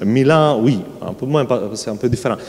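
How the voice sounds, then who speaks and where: Lively intonation marks this speech in a strong Sardinian accent. Background noise is noticeable. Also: man. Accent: strong Sardinian Italian accent in French. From Sardinia, Italy. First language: Italian (speaking French). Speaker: panel guest, churchman. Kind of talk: public talk at literary festival. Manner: halting, many hesitations.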